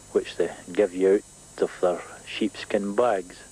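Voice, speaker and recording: A man with a Scottish accent at a fairly slow pace, amid noticeable background noise. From Scotland. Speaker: cycle tourist; former soldier. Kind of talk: interview answer.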